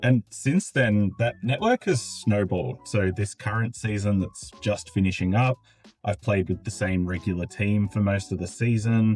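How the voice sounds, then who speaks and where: Music plays in the background as a man with an Australian accent speaks in a fairly low voice. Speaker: gaming content creator. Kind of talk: video essay. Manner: casual, conversational.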